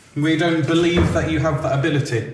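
A man speaks at a fairly slow pace with fairly even intonation, amid noticeable background noise and audible room echo. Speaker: ghost hunter. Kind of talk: paranormal investigation calling out. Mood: tense, hushed. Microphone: phone near.

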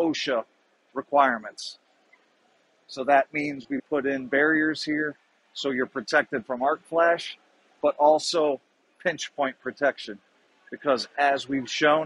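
Recorded dry with no echo, a man talks at a fairly slow pace with long, frequent pauses and fairly even intonation. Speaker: exhibitor sales engineer. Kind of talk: product demo explanation. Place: hall. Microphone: phone near.

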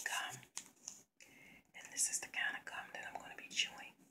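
At a moderate pace, a woman speaks in a whisper. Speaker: ASMR vlogger. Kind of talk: ASMR whispered video. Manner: soft, whispering. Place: home room. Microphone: phone near.

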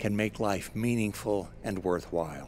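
A man talks at a moderate pace in a normal speaking voice. His pitch sits fairly low. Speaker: radio broadcast announcer / inspirational spoken-word host. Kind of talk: inspirational spoken-word message. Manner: warm, calm, measured.

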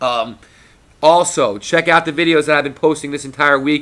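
Bright and sharp in tone, a man's fairly high voice moves at a moderate pace with fairly even intonation. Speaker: video blogger; wrestling vlogger. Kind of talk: casual vlog monologue. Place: home room. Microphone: webcam.

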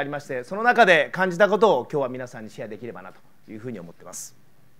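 Very rapid speech with very wide swings in pitch. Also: man. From Japan, Kyoto; Japan. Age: 50s. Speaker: politician and former pro triathlete; politician. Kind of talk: public speech. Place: hall. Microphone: lapel.

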